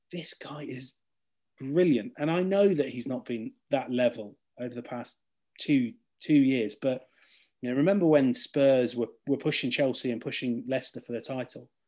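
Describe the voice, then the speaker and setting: Big swings in loudness from a dark, mellow tone with an English accent, at a moderate pace with ordinary pitch variation, over a quiet background. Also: man, medium pitch for a man. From England. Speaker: football journalist. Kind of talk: casual chat.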